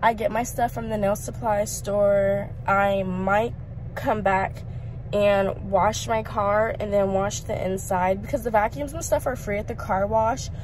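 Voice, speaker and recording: The sound is dry with no echo as a woman speaks at a fairly slow pace over light background noise. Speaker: vlogger. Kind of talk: casual vlog chat. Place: car. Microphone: phone near.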